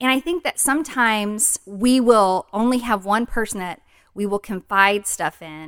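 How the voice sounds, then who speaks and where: A woman uses an ordinary speaking voice, fairly high in pitch, at a moderate pace with lively intonation. The sound is dry and close with no echo, a very clean recording on a silent background. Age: 40s. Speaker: podcast co-host. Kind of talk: casual chat.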